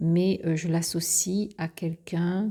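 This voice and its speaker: A soft-spoken, very slow delivery on a very clean recording with a silent background. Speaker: tarot and oracle card presenter. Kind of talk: product presentation.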